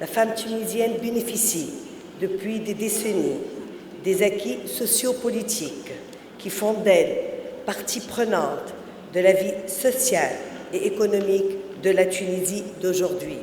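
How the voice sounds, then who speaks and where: Against noticeable background noise and audible room echo, a woman speaks at a very slow pace and medium pitch, with ordinary pitch variation and long, frequent pauses. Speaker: keynote speaker, businesswoman. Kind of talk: keynote speech. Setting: conference stage with audience and interpreter. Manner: slow, deliberate.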